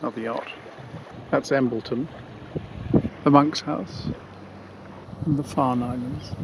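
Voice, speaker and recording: Fairly even intonation and a fairly slow pace, broken by long, frequent pauses, come through noticeable background noise. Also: man, medium pitch for a man. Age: 60s. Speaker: solo sailor vlogger. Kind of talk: on-board video diary narration. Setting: outdoors on a sailing yacht.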